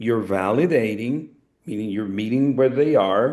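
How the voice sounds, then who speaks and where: A man speaks at a medium pitch with an ordinary amount of pitch variation. He has a Spanish accent, and the background is quiet. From Latin America. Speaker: network marketing speaker. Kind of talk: coaching talk on a group call.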